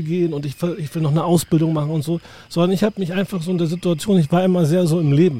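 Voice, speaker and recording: A man's high voice at a very fast pace, fairly even in intonation, with noticeable background noise. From northern Germany, southern Hamburg. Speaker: podcast host, tour guide. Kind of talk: casual chat.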